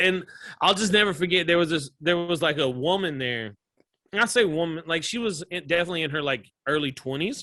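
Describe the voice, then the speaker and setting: A man with a Southern US accent speaks fast-ish, at a fairly quick pace, with a high pitch and lively intonation. His tone is bright and sharp, and the recording is very clean with a silent background. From US South, small-town Georgia. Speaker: comedian. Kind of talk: casual chat.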